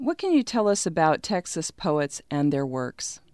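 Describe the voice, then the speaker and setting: In a very clean recording with a silent background and a dry, close sound with no echo, a woman speaks at a moderate pace in an unremarkable speaking voice. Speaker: radio host. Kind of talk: radio interview.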